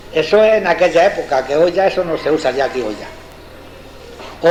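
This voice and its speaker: The man's voice is high-pitched. Background noise can be clearly heard behind it. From Extremadura, Spain. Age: 70s. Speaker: farmer. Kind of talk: dialect interview answer. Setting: analog tape recording, indoors.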